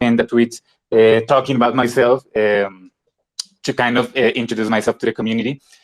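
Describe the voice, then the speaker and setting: A man with a Spanish accent, recorded dry and close with no echo. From Colombia. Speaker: independent filmmaker. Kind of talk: casual chat. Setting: live online audio room. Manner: halting.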